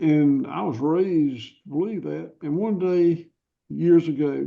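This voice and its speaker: This man has a dark, mellow tone and a fairly high pitch. He speaks with a Southern US accent. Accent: Southern US (Georgia). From US South, rural Georgia. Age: 60s. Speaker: cattle farmer. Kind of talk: interview. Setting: podcast interview.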